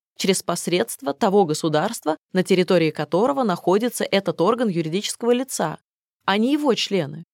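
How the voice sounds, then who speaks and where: With lively intonation and an unremarkable speaking voice, a woman talks at a moderate pace in a medium pitch, the sound dry and close with no echo. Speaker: audiobook narrator. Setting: studio.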